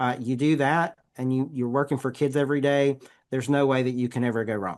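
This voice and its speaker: With a Southern US accent, this man talks fairly quickly at a medium pitch and with fairly even intonation. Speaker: education center associate director. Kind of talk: podcast interview. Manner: halting.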